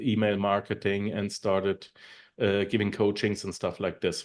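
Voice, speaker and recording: A man with a German accent speaks over a quiet background. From Germany. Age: 40s. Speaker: online marketer and podcaster. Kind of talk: interview. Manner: halting.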